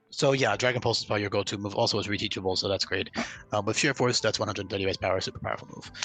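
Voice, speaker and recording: A man speaks with music in the background. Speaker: ROM hack developer explaining his game. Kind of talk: game commentary tutorial. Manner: fast; casual with filler words.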